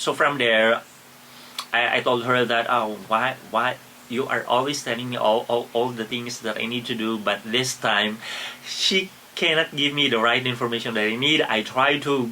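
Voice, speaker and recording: Against noticeable background noise, a man talks at a moderate pace, his medium pitch showing ordinary variation. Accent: Filipino. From Philippines. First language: Filipino. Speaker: travel vlogger. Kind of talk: casual vlog narration. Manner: halting, many repetitions and fillers.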